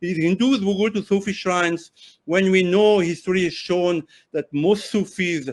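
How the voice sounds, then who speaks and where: A man's high-pitched voice with a French accent. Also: quiet background. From France, Paris. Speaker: journalist and author. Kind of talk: interview discussion. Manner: halting, with self-corrections.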